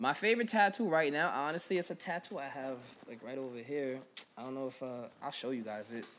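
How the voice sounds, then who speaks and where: Fairly quick and lively in intonation, a man with an American accent talks at a medium pitch in a plain, everyday voice. His loudness swings widely. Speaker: rapper. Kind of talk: casual interview.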